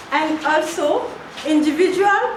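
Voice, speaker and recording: A woman speaks at a high pitch with a non-native accent. Her voice carries audible room echo over noticeable background noise. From French-speaking West Africa. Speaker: NGO admin officer and youth activist. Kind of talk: prepared speech at workshop. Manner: halting, many fillers.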